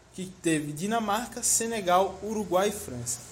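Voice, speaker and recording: Audible room echo accompanies a man speaking at a moderate pace. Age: 20s. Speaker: podcast co-host. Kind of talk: casual chat.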